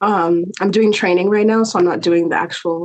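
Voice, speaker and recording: An American accent marks this woman's plain, everyday voice. She talks at a moderate pace with a fairly low pitch and fairly even intonation. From New Jersey. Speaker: lawyer and insurance claim specialist. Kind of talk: casual interview chat.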